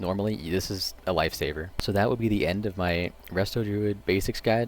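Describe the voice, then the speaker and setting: A man is speaking. Music plays in the background. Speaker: gaming streamer. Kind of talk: tutorial. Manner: monotone.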